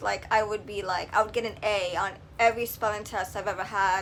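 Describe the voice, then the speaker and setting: A woman speaks in a New York accent. Her intonation stays fairly even. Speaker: video blogger. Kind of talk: casual vlog talk to camera. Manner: hesitant, many filler ums.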